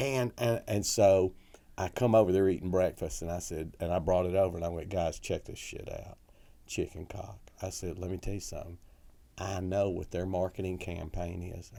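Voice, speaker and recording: A man with a Southern accent speaks at a very deep, low pitch in a dark, mellow tone, at a moderate pace. His intonation is fairly even but his loudness swings widely, on a very clean recording with a silent background. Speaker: comedy club owner and comedian. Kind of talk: storytelling anecdote.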